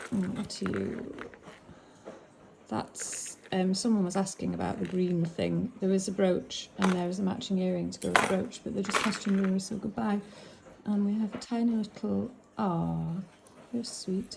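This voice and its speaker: Against noticeable background noise, a woman speaks at a moderate pace with long, frequent pauses. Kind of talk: casual unboxing chat. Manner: casual, hesitant with fillers.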